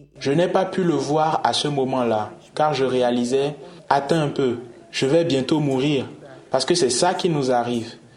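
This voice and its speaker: With audible room echo and noticeable background noise, a man with a fairly high pitch speaks at a fairly slow pace, using ordinary pitch variation, very even loudness and long, frequent pauses. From Nigeria. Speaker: LGBT activist. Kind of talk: interview.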